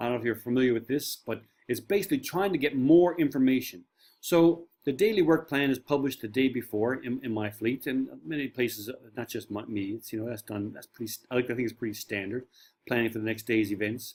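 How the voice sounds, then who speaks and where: In a Newfoundland accent, a man with a medium pitch talks at a very fast pace, with ordinary pitch variation and big swings in loudness. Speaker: marine safety trainer. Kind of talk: online course lecture. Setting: home shed.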